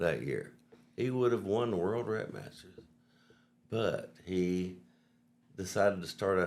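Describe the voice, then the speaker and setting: In a Southern US accent, a man speaks with a fairly low pitch at a fairly slow pace, leaving long, frequent pauses. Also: ordinary pitch variation. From US South. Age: 50s. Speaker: vehicle wrap business owner. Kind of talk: casual chat.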